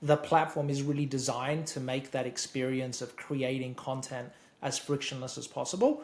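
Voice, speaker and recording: With an Australian accent, the voice comes out somewhat breathy and in a flat monotone. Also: man, medium pitch for a man, moderate pace. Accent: Australian, noticeable. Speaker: software expert. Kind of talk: interview explanation. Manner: repeats words often.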